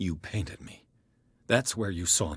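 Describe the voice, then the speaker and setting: A man's put-on character voice, growling and very deep, at a moderate pace. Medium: video game. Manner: urgent, terse.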